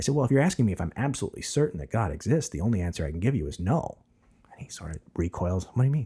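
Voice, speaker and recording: Very fast and somewhat breathy, a man speaks with very wide pitch swings. His voice is fairly low, with a dark, mellow tone. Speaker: podcast host, seminary student and preacher. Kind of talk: casual interview chat. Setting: studio, face-to-face.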